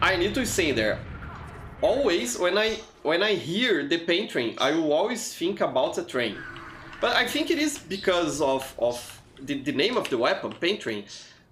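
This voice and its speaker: Amid noticeable background noise and audible room echo, a man with a high pitch speaks at a moderate pace, his pitch swinging very widely. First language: not English. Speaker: gaming livestreamer. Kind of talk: live gameplay commentary. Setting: livestream. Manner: halting, frequent repetitions. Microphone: poor mic.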